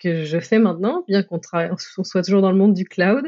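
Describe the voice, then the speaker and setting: This is a normal speaking voice. The pitch varies in an ordinary way. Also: woman. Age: 30s. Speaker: technical program manager. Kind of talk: interview.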